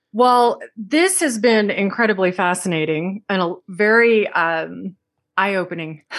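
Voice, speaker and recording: A plain, everyday voice from a woman with an American accent, medium in pitch, fairly slow, with ordinary pitch variation and a quiet background. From Texas. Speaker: podcast host. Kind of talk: casual chat.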